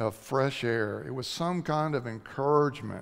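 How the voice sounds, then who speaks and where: With little sound behind him, a man talks fairly slowly. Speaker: preacher. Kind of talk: sermon. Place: church.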